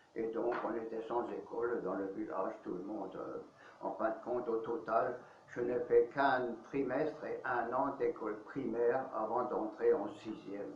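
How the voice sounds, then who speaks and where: A man with an Alsatian accent at a medium pitch, talking at a fairly slow pace, with audible room echo and noticeable background noise. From Alsace, France. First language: Alsatian (speaking French). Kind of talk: interview, life testimony. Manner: hesitant, many fillers.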